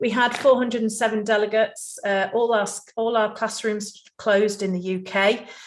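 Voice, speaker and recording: Moderate pace from a woman at a fairly high pitch, with audible room echo. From England, Nottingham. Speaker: conference speaker, healthcare trainer and business owner. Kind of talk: conference presentation.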